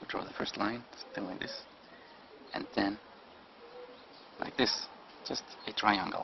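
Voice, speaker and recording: A man with a non-native accent, big swings in loudness, long and frequent pauses, and noticeable background noise. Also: moderate pace. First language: non-native English speaker. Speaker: drawing instructor. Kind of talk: drawing tutorial narration.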